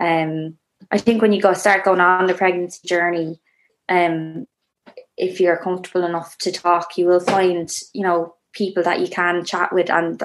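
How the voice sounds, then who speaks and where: A woman's fairly low, monotone, flat delivery in an Irish accent. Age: 30s. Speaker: first-time mother sharing birth story. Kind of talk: casual interview, personal story.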